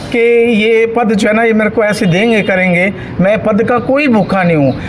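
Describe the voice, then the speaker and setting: A man's high-pitched voice at a moderate pace, with ordinary pitch variation, audible room echo and noticeable background noise. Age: 60s. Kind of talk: interview speech to reporter. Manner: emotional, earnest.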